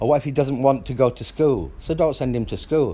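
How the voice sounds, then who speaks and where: The voice has a dark, mellow tone. Vocal fry runs through it. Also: man. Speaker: father in custody dispute. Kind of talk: heated phone argument. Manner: loud.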